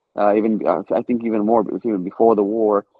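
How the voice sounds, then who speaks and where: A man speaks with an Israeli accent at a moderate pace. His pitch sits fairly low. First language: Hebrew. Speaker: stand-up comedian. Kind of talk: interview. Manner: halting, many repeated words.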